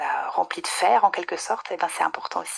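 A woman at a moderate pace. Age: 30s. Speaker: nutrition adviser. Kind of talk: casual interview.

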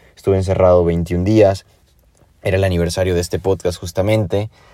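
Very deep and low in pitch, a man's dark, mellow voice moves at a fairly quick pace with fairly even intonation. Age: 20s. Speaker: podcaster. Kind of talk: personal reflection monologue. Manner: casual, conversational.

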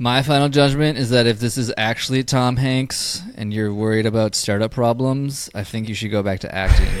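Over music in the background, a man talks with hardly any pauses and fairly even intonation. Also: medium pitch for a man, moderate pace. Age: 30s. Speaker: podcast host and fitness business owner. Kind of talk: casual chat.

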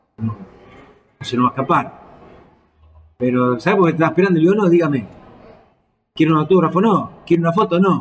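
A man talks at a very fast pace with lively intonation. He has an Argentine accent. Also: fairly high pitch for a man. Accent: Rioplatense Argentine Spanish. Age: 60s. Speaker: football coach. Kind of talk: casual interview. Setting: bar. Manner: halting, many fillers.

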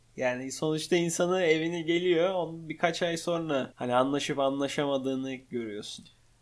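This man has an unremarkable speaking voice, fairly high in pitch, with ordinary pitch variation and a moderate pace. He leaves hardly any pauses, and the recording is very clean with a silent background. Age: 20s. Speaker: podcast co-host, operations manager. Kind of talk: casual chat. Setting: home living room.

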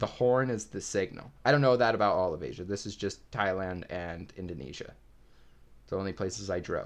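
A man with a normal speaking voice talks at a fairly quick pace and fairly low pitch, with ordinary pitch variation. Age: 20s. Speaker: podcast host. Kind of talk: casual chat.

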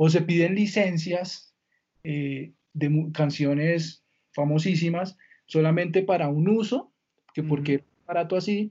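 A man with a high pitch speaks at a fairly slow pace with fairly even intonation and long, frequent pauses. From Colombia, Villavicencio. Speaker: entertainment lawyer. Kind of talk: interview conversation.

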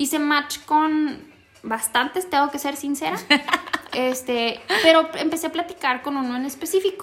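Pitched high, a woman's voice moves at a moderate pace and shows ordinary pitch variation. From northern Mexico. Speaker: podcast co-host. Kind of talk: casual chat.

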